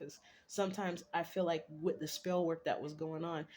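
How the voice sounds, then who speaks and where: Her intonation fairly even, a woman talks at a fairly quick pace with a fairly low pitch. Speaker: vlogger. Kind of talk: casual monologue. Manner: fast.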